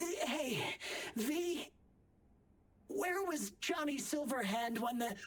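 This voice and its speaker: Long, frequent pauses break up a very slow delivery in a put-on character voice. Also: female-sounding voice, high pitch for a woman. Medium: video game. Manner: wry, conversational.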